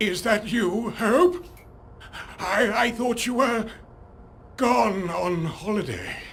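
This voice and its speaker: A man's put-on character voice, high-pitched with lively intonation, at a very slow pace over clear background noise. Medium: short film.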